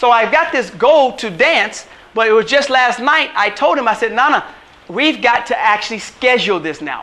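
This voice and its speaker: A man speaks in a raised, projected, animated voice at an extremely high pitch with lively intonation. His pace is fairly quick, with noticeable background noise. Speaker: chiropractor and wellness coach. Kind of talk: motivational workshop talk. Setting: workshop with live audience. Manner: fast.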